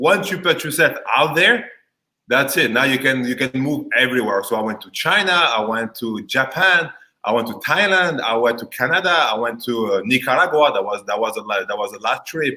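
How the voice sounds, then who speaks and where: A man with a strong French accent, medium pitch, lively intonation, a bright, sharp tone and a moderate pace. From France. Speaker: insurance agent. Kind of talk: casual chat. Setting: live video stream.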